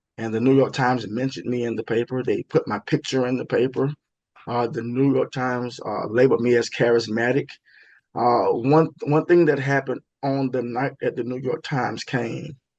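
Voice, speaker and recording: A man speaks with a strong Southern US accent at a medium pitch. His pace is moderate and his intonation fairly even. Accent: heavy Southern US. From US South, Florida (Tallahassee). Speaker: stage and TV actor. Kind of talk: interview, telling career stories. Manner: repetitive, self-correcting, many fillers.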